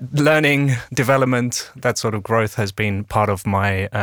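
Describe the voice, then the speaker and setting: A man is speaking. He has a British accent. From UK. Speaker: people and HR consultant. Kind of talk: casual panel discussion. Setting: studio.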